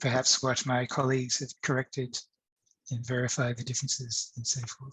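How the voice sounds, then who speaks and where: The voice is monotone, with flat intonation. Behind it, the background is quiet. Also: man. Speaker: academic speaker on digital humanities; presenter. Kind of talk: conference talk with screen demo. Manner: hesitant, many fillers. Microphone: webcam.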